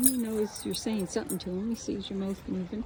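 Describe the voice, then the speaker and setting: The tone is relaxed and the pace moderate. Background noise is noticeable. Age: 60s. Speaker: vlogger. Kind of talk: casual walking vlog. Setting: outdoors. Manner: relaxed, meandering.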